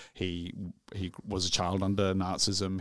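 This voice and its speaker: In a very clean recording with a silent background, a man speaks at a fairly slow pace in a very deep, low pitch with monotone, flat intonation. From Yorkshire, England. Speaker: film reviewer podcast co-host. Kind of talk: casual chat.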